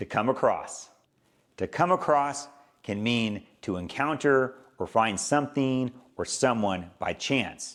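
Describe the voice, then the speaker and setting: With a plain, everyday voice and an American accent, a man of medium pitch speaks at a fairly slow pace with ordinary pitch variation, in a very clean recording with a silent background. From Southern California. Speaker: English teacher. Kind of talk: educational lesson to camera.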